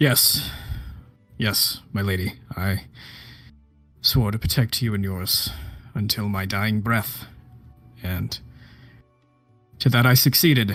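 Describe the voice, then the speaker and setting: Putting on a character voice, a man with a fairly low pitch speaks at a fairly slow pace with long, frequent pauses while faint music plays in the background. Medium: actual play. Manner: formal, devoted.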